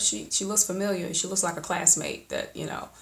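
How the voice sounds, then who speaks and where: A woman speaks with an Alabama accent at a moderate pace and fairly even intonation. Audible room echo and noticeable background noise are present. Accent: Southern US (Alabama). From US South, Alabama (Oxford area). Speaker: poet, video creator. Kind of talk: personal vlog monologue. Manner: casual, with frequent fillers.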